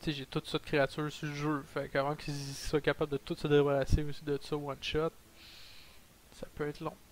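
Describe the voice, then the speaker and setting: Speaking fairly quickly, a man uses a fairly high pitch with monotone, flat intonation. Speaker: gaming YouTuber. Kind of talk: gameplay commentary.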